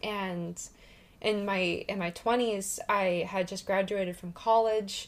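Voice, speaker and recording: A woman's very slow, monotone, flat delivery at medium pitch, with an American accent. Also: very clean recording, silent background. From US Pacific Northwest (Washington). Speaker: spiritual podcast co-host. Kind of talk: casual chat.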